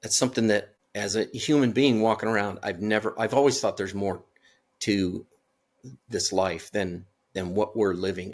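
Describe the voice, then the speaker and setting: A man speaks at a moderate pace and fairly low pitch. The recording is very clean, with a silent background. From California. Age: 60s. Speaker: near-death experience survivor. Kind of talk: interview testimony. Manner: halting, many repetitions.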